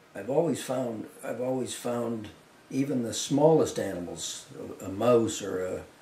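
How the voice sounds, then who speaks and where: Speaking with a Canadian accent, a man has a medium pitch and ordinary pitch variation. Audible room echo and noticeable background noise surround him. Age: 70s. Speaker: wildlife artist. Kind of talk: interview. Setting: artist's studio. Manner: halting, with many repetitions.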